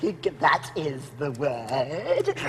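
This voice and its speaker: Over clear background noise, a put-on character voice speaks in a low-to-middle pitch. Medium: short film. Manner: oily, obsequious.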